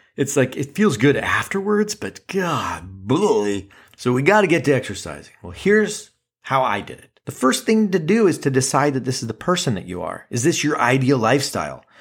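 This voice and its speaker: On a very clean recording with a silent background, a man at a fairly high pitch and moderate pace shows very wide pitch swings, big swings in loudness and vocal fry. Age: 40s. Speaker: podcast host. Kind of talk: casual monologue. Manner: animated.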